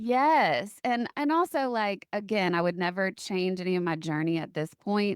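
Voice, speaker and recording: Using an ordinary speaking voice, a woman talks at a moderate pace and medium pitch with lively intonation and hardly any pauses. The sound is dry and close, with no echo. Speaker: podcast host. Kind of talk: casual podcast conversation.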